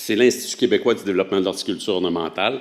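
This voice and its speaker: Speaking with a Quebec accent, a man uses ordinary pitch variation. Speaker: horticulture researcher presenting a project. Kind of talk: conference presentation. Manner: hesitant, many filler sounds.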